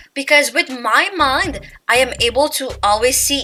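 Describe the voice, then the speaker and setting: In a raised, projected voice, a woman with a non-native accent speaks at a fairly slow pace, her high pitch giving a bright, sharp tone. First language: not English. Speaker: YouTuber. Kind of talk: casual chat. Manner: casual, filler-heavy.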